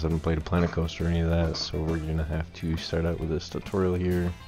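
A man's very deep, low, monotone voice with flat intonation over faint music in the background. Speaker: gamer. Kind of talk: casual gameplay commentary. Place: home room.

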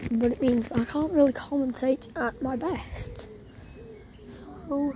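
Speaking very slowly, a woman uses a high pitch with ordinary variation. The sound is dry with no echo, over light background noise. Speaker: trainspotter vlogger. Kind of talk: casual commentary. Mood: excited. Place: station. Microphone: phone near.

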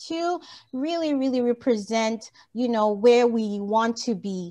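Against a quiet background, a woman with a West African accent and a fairly high pitch speaks at a fairly slow pace. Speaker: motivational speaker on women's empowerment; motivational speaker. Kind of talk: motivational talk. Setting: video call. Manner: animated, laughs often. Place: home room. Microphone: video call.

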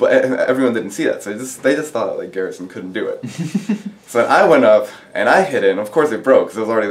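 Light background noise runs under the recording. A man speaks at a fairly quick pace. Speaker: interviewee. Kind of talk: interview answer. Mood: amused, relaxed. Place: classroom.

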